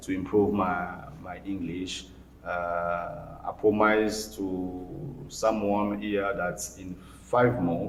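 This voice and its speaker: A man with a fairly low voice speaks at a very slow pace, his loudness swinging widely amid audible room echo. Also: ordinary pitch variation. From DR Congo, Mbandaka (Equateur province). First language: Lingala and French. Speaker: writer and lawyer. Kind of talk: interview. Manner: halting, many fillers and repetitions.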